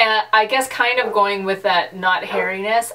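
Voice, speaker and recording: A woman in an ordinary speaking voice, fairly slow, with fairly even intonation. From western Canada. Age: 30s. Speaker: YouTuber, pastor's wife. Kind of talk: casual vlog chat.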